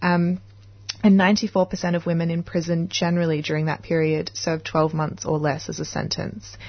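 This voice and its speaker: A woman's fairly low, somewhat breathy voice at a moderate pace with ordinary pitch variation. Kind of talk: radio presenter patter. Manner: warm, chatty, upbeat, with small stumbles and laughs.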